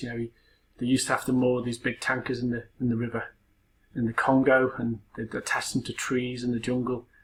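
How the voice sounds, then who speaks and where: In a Liverpool accent, a man talks very fast at medium pitch with monotone, flat intonation. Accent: Scouse. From Liverpool, England. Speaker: university lecturer. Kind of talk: personal introduction talk. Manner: casual, hesitant with fillers.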